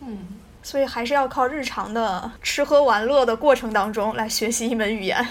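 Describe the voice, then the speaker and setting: Speaking in a slight Taiyuan accent, a woman has fairly high pitch. Her intonation is fairly even and her pace moderate. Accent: slight Taiyuan tinge in Mandarin. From Taiyuan, Shanxi, northern China. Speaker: podcast host. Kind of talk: casual chat.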